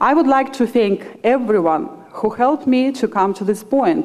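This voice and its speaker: A woman with a Russian accent and lively intonation, at a moderate pace amid noticeable background noise. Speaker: student speaker. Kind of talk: commencement speech. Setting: graduation ceremony with audience.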